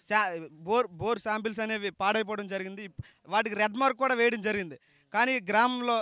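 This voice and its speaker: A man uses a raised, projected voice at a high pitch with a bright, sharp tone. His intonation is fairly even, and the sound is dry with no echo. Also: quiet background. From Srikakulam district, Andhra Pradesh; Andhra Pradesh, India. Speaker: villager in fishing community; interviewee. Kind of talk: street interview. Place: open country. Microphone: handheld.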